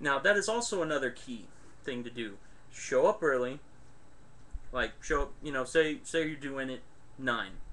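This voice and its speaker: A man's loud, bright, sharp voice with lively intonation, at a moderate pace with long, frequent pauses. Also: fairly high pitch for a man. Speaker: webcam vlogger. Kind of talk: casual advice vlog. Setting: webcam recording. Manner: loud, projected voice.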